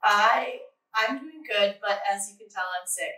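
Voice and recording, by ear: A woman's put-on character voice, raspy and medium in pitch, at a moderate pace with big swings in loudness.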